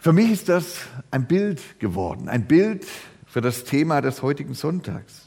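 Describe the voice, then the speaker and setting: The man speaks at a fairly slow pace with vocal fry and a dark, mellow tone. His pitch is fairly high and swings very widely. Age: old. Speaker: pastor. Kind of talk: sermon.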